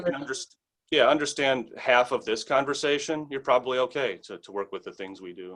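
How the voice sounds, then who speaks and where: Here a man with an American accent speaks at a fairly quick pace with a fairly high pitch. His pitch variation is ordinary, with big swings in loudness. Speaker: English teacher. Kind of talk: interview answer.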